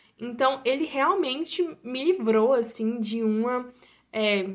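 This woman's voice sits at a high pitch. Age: 19. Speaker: university student, podcast guest. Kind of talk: casual chat about faith.

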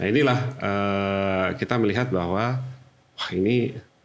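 In a plain, everyday voice, a man speaks at a fairly low pitch with ordinary pitch variation. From Jakarta, Indonesia. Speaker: HR manager. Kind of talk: podcast interview.

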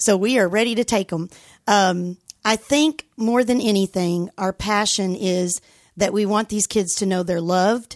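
Speaking in a Texan accent at a fairly slow pace, a woman keeps a medium pitch with ordinary variation, recorded very cleanly against a silent background. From West Texas and southeastern New Mexico. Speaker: school principal. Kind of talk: interview. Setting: studio.

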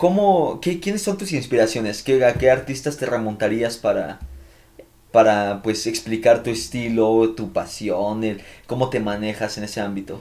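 This man's voice has a dark, mellow tone and a medium pitch. He talks at a fairly slow pace with lively intonation. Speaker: podcast host. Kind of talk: casual chat.

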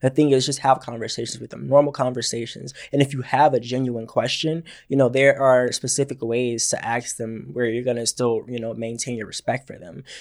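Speaking at a fairly quick pace with hardly any pauses, a man keeps a medium pitch and fairly even intonation while his loudness swings widely. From Georgia, US. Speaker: podcast co-host, student club president. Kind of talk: casual chat.

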